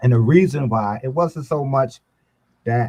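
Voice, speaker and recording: On a very clean recording with a silent background, a man with an American accent speaks in a dark, mellow, somewhat breathy tone with ordinary pitch variation. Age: 70s. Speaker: boxing coach. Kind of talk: casual chat.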